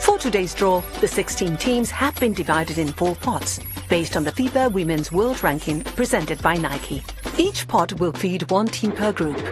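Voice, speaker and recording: With music playing in the background, a woman speaks at a moderate pace in a British accent. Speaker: voice actor. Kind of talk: informative sports explainer narration.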